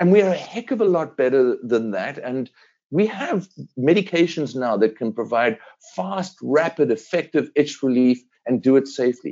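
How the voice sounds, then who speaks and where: A man with a South African accent, moderate pace and very wide pitch swings. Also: fairly high pitch for a man. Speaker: veterinary dermatologist. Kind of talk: interview.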